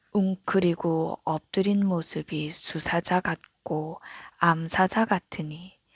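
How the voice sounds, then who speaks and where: In a calm, soothing tone, a woman speaks very slowly, somewhat breathy and fairly low in pitch, with a dry, close sound and no echo. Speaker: mother reading aloud. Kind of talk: Bible reading.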